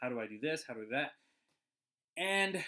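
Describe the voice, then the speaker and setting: With a Midwestern accent and lively intonation, a man speaks in a bright, sharp tone on a very clean recording with a silent background. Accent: Midwestern twang. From US Midwest. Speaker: animator and cartoon channel host. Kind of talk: casual vlog advice talk. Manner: halting, many fillers.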